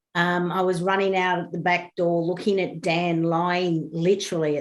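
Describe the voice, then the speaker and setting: A woman with an Australian accent speaks at a moderate pace in a fairly low voice with monotone, flat intonation. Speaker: bereaved parent. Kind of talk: interview.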